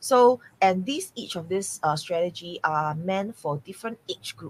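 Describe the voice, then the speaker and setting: A somewhat breathy woman speaks at a medium pitch with lively intonation and big swings in loudness. The sound is dry and close, with no echo. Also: moderate pace. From Singapore. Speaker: real estate mentor. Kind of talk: podcast interview. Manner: hesitant, many fillers.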